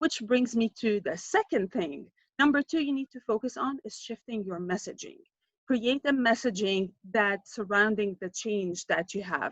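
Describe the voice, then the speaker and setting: In a normal speaking voice, a woman talks at a moderate pace with medium pitch and ordinary pitch variation, the sound dry and close with no echo. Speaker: marketing consultant. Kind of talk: presentation.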